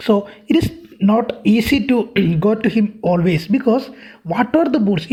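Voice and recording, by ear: A natural voice, reading aloud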